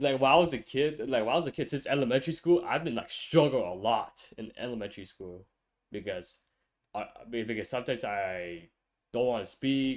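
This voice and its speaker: A man with a Vietnamese accent talks fairly quickly at a medium pitch, with lively intonation and big swings in loudness. The recording is very clean, with a silent background. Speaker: podcast host, college student. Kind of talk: casual chat. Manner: stutters sometimes; mumbling.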